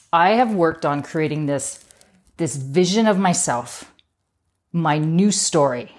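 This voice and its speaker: Speaking at a fairly slow pace with long, frequent pauses, a woman with a fairly low voice sounds animated, her intonation lively, in a room with audible echo. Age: 50s. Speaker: podcast host. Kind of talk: motivational monologue.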